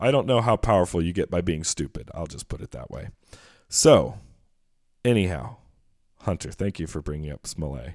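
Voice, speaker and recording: Over a very clean recording with a silent background, a man with a very deep, low pitch and vocal fry talks in an animated tone at a moderate pace, his pitch swinging very widely and his loudness shifting a lot between long, frequent pauses. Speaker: podcast co-host. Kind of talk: casual chat. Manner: animated, jokey.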